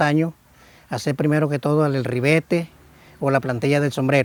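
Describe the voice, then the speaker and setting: At a moderate pace, a man talks with a normal speaking voice pitched fairly high. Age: 60s. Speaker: hat weaver artisan. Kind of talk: interview.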